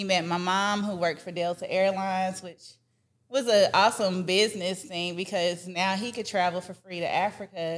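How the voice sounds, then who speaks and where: Her voice is an unremarkable speaking voice: a woman with an American accent, medium pitch, fairly even intonation and a moderate pace. Her loudness swings widely, and the recording is very clean with a silent background. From Texas and Georgia (Dallas, Atlanta). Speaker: food safety entrepreneur and children's author. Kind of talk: interview.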